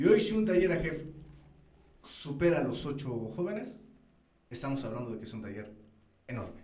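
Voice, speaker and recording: Speaking at a fairly quick pace, a man with a medium-pitched voice is heard with audible room echo. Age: young. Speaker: radio host. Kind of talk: interview conversation.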